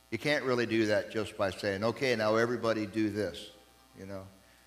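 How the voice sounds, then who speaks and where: Music plays in the background while a man talks. His pace is moderate and his pitch fairly low. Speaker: preacher. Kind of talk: sermon. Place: church.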